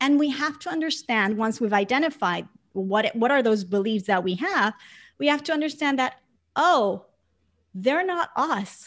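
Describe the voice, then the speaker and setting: High-pitched, a woman speaks at a moderate pace with very wide pitch swings. The recording is very clean, with a silent background. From Puerto Rico (San Juan). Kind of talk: interview conversation.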